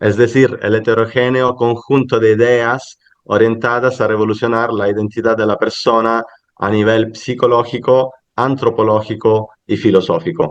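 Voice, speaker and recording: A man talks with a medium pitch, keeping a moderate pace. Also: fairly even intonation. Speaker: academic conference speaker. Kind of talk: academic paper presentation. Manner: halting, with fillers and self-corrections.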